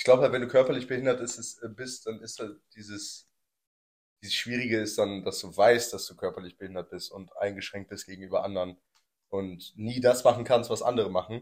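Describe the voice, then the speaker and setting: An ordinary speaking voice goes at a fairly quick pace with fairly even intonation but big swings in loudness. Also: man, medium pitch for a man. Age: 20s. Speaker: podcast host. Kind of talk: casual chat.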